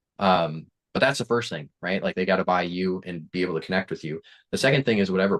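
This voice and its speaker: A man with an American accent and a normal speaking voice talks in a fairly low pitch with lively intonation, in a dry, close recording with no echo and a quiet background. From Wisconsin, US Midwest. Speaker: business coach. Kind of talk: interview.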